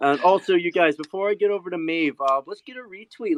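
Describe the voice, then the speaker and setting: A loud man at a fairly quick pace, with a dry, close sound and no echo. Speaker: audio space host. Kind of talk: hosted panel discussion. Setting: on his balcony.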